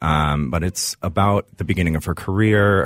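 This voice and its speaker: The speaker is a man with an American accent. He talks at a moderate pace. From Minnesota, Woodbury. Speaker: musical theatre performer. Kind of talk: casual interview. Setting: studio.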